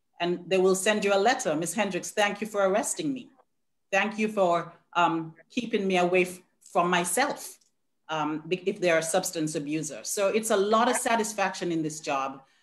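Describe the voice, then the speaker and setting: A woman with a Caribbean accent, her pitch mid-range, ordinary pitch variation, and a moderate pace. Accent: Caribbean island. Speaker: probation officer. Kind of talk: panel talk.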